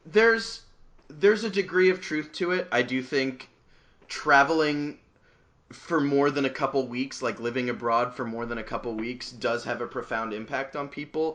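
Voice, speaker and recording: A man's unremarkable speaking voice with an American accent, fairly high in pitch, lively in intonation, at a moderate pace. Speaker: podcast host. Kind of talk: casual chat.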